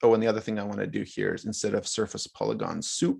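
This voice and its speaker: Here a man is speaking. The background is quiet. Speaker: workshop instructor. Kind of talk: live software tutorial. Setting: video call.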